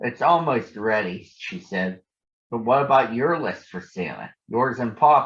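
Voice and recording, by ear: The words are read aloud in a natural voice, and the background is quiet.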